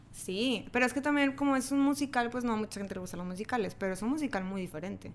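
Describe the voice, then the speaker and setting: A woman speaks at a very fast pace in a fairly high pitch. Her intonation is lively. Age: 20s. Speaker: podcast guest, friend of host. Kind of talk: casual chat.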